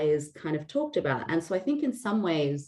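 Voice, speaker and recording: At a moderate speed, a woman talks in an Australian accent. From Australia, Sydney. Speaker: founder of online community, data leader. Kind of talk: interview. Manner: conversational, with fillers.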